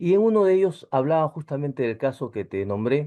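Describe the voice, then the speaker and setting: A man talks at a moderate pace. His pitch varies an ordinary amount. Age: 60s. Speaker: engineer, course participant. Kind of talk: casual chat. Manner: halting.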